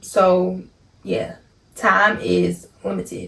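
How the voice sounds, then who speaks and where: This is a woman speaking. She talks with a Baltimore accent. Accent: Baltimore accent, noticeable. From Baltimore, Maryland. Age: 20s. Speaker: content creator. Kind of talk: casual vlog Q&A. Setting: home recording late at night.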